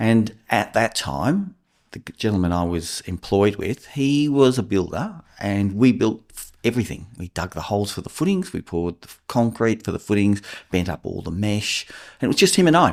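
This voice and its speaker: With an Australian accent, a man talks at a fairly low pitch. His intonation is lively, and his loudness swings widely. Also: moderate pace, very clean recording, silent background. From Australia, New South Wales (Port Stephens). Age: 60s. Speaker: builder and house inspector. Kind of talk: podcast interview.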